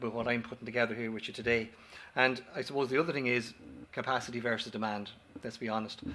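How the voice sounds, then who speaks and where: Very fast speech in an Irish accent, with fairly even intonation. Room echo is audible. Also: man. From Ireland. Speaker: company director, former paramedic. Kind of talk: conference presentation. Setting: auditorium with audience. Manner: halting, with false starts and repetitions.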